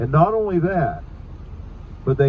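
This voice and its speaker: A man with a Southern US accent speaks with lively intonation. Noticeable background noise runs behind him. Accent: Southern US (Georgia). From Savannah, Georgia. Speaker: ghost tour guide. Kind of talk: ghost story told on a guided hearse tour. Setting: moving vehicle, outdoors city tour.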